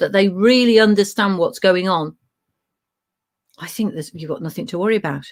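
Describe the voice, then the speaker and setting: In an English Midlands accent, a woman talks at medium pitch with ordinary pitch variation. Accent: Midland English. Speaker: education training consultant. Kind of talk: webinar presentation. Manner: hesitant, many fillers.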